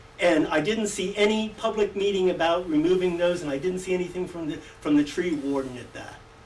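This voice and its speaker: Noticeable background noise sits behind a speaker with an American accent who talks at a fairly quick pace with hardly any pauses. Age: 70s. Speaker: resident speaking at public hearing. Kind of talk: public comment at a hearing.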